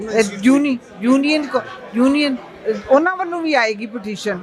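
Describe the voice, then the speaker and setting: Audible room echo mixes with noticeable background noise. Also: woman. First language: Punjabi (speaking Hindi). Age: 60s. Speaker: activist. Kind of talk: press interview. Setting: press club.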